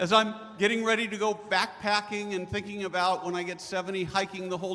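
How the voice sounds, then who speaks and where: Over noticeable background noise, a man talks at a fairly quick pace in a raised, projected voice. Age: 60s. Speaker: healthcare panelist. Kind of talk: panel discussion. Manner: passionate, speech-like.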